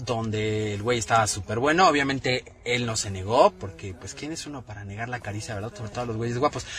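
Music plays in the background while a man talks fairly quickly. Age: 30s. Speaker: podcast co-host. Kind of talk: casual chat.

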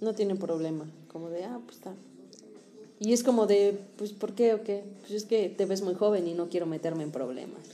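Against noticeable background noise, a woman talks with ordinary pitch variation and big swings in loudness. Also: medium pitch for a woman, moderate pace. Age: 30s. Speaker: podcast co-host. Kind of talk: casual chat. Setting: studio.

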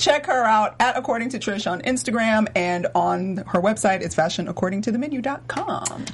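A woman with an American accent speaks at a fairly high pitch, a moderate pace and with hardly any pauses. Her intonation is lively, with music playing in the background. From Georgia, US South. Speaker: co-host fashion show. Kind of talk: casual chat. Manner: animated.

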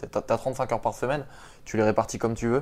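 This is an ordinary speaking voice from a man at medium pitch. His intonation stays fairly even. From Paris region, France. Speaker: street workout athlete and doctoral student. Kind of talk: casual interview.

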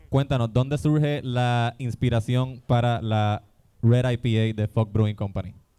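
A man with an ordinary speaking voice talks at a medium pitch with fairly even intonation. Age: 30s. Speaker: podcast host. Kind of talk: live comedy podcast before audience. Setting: brewery stage with live audience.

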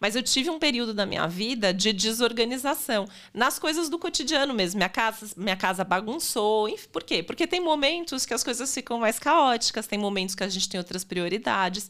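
With an unremarkable speaking voice, a woman talks fairly high and fairly quickly with lively intonation and hardly any pauses. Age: 40s. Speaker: astrologer. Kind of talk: casual chat.

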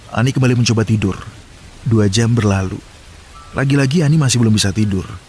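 Noticeable background noise sits under a man's voice. He speaks at a very fast pace with ordinary pitch variation. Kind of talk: horror story narration.

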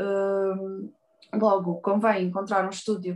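A woman speaks in a European Portuguese accent at a medium pitch. Her pace is fairly slow. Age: 30s. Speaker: tattoo artist. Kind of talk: interview.

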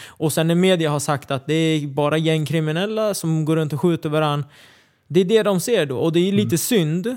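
On a very clean recording with a silent background, a man speaks in a plain, everyday voice at a fairly high pitch, fairly quick pace and ordinary pitch variation. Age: 20s. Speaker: MMA fighter. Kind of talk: casual chat. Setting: studio.

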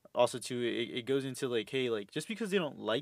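At a fairly quick pace, a man speaks at a medium pitch with lively intonation in a normal speaking voice. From Houston, Texas. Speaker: host's boyfriend. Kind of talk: casual chat.

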